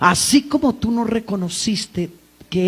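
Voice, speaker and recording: A woman speaks at a very slow pace. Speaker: preacher. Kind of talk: sermon. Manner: loud.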